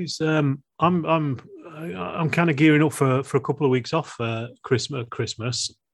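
This man's voice sits fairly high in pitch. He talks at a fairly quick pace with lively intonation. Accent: Yorkshire. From South Yorkshire, Rotherham. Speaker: wargaming YouTuber. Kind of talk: casual chat.

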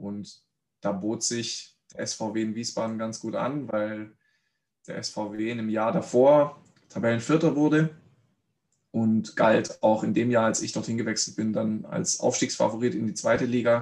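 A man with an ordinary speaking voice, medium in pitch, with ordinary pitch variation and a fairly slow pace. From Swabia, Germany (Reutlingen). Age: 30s. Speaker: mental coach, former pro footballer. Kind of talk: casual interview.

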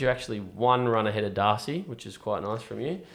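Here a man talks at a medium pitch. He has an Australian accent. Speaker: podcast host and cricketer. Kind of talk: casual chat. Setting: studio.

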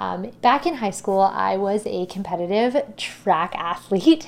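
This woman has an ordinary speaking voice, medium in pitch, with a Canadian accent. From Ontario, Canada. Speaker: podcast host. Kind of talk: solo podcast monologue.

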